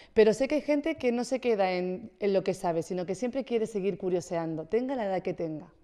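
Against a quiet background, a woman with a medium pitch and a dark, mellow tone talks at a fairly quick pace with lively intonation and hardly any pauses. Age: young. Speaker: wellness presenter; guest. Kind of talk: casual chat. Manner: fast; energetic. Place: studio. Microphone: studio mic.

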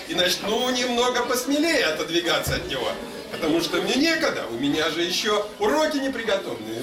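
A man talks at a fairly slow pace while noticeable background noise continues. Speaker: literary reader and musician. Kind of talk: short story reading aloud. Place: hall. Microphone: camera far.

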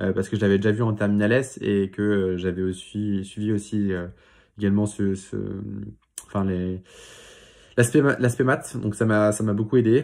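Against a quiet background, a man talks at a moderate pace in a fairly low pitch, his tone dark and mellow and his intonation fairly even. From Paris region, France; France. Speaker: student YouTuber. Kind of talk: vlog monologue. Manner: halting, many filler sounds. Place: home room. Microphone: phone near.

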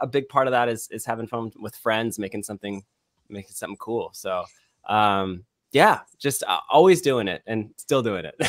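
A man with an American accent speaks at a moderate pace with lively intonation. The sound is dry with no echo, over a quiet background. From California, Bay Area (Vacaville); California. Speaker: filmmaker, director and editor; guest. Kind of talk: casual chat. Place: home room. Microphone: studio mic.

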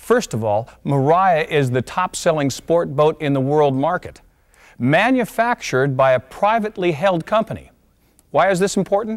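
Over a quiet background, a man talks at a moderate pace. His pitch swings very widely. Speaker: presenter. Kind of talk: promotional presentation. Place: studio.

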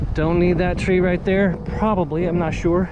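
The sound is dry with no echo, though noticeable background noise comes through. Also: man. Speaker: radio hobbyist. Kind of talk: casual vlog chat. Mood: relaxed, pleased. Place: garden. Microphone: phone near.

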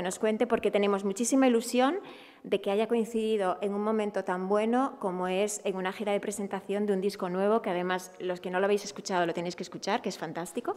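In an Asturian accent, a woman talks at a fairly quick pace with hardly any pauses, a medium pitch and fairly even intonation. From Asturias. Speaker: festival organizer. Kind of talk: press conference. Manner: halting. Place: meeting room. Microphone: podium.

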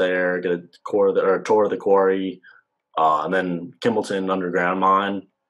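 The speaker has an American accent and a moderate pace. The background is quiet. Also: man. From Virginia. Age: 20s. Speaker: undergraduate mining engineering student. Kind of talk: Q&A panel at a virtual open house. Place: home room. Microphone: video call.

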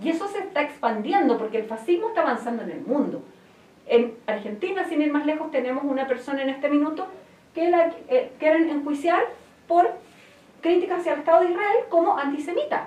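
Audible room echo surrounds a woman's high-pitched voice. She speaks at a fairly quick pace. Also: lively intonation. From Chile, Santiago; Chile. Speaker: activist; interview guest. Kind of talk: interview; interview answer. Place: studio.

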